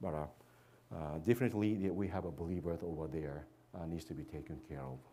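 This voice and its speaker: A man talks at a very fast pace with a very deep, low pitch, a dark, mellow tone and vocal fry. His pitch varies in an ordinary way, and audible room echo surrounds him. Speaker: missionary. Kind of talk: church presentation. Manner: halting, many fillers.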